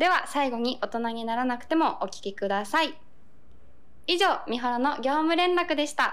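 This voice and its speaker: A woman speaks at a fairly slow pace, her pitch swinging very widely. Long pauses come often, and the room echo is audible. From Japan, Okayama. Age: 20s. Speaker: singer-songwriter. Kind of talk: radio corner monologue.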